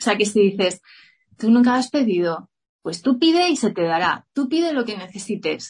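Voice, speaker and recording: Somewhat breathy and fairly high-pitched, a woman speaks at a moderate pace with very wide pitch swings against a quiet background. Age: 40s. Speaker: yoga teacher and entrepreneur. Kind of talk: interview.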